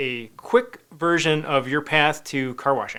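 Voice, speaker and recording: A man talks loudly at a fairly high pitch. His tone is bright and sharp. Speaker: magazine editor and live show host. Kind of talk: live web show interview. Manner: energetic.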